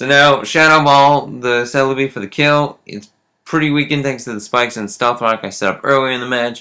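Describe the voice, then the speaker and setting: A man speaks with a bright, sharp tone. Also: very clean recording, silent background. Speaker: video game commentator. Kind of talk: game commentary narration. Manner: casual.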